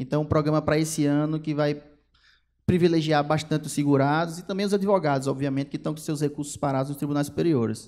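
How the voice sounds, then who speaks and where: His dark, mellow tone sits at a fairly high pitch for a man, and he talks at a fairly quick pace with fairly even intonation. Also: very clean recording, silent background. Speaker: federal government attorney. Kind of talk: lecture. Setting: stage with audience. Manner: fast; loud.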